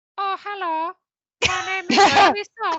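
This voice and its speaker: Putting on a character voice, a woman speaks at a moderate pace with extremely high pitch. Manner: creepy.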